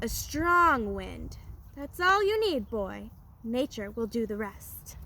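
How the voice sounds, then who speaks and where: A croaky, put-on character voice at a fairly slow pace, over clear background noise. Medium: read story.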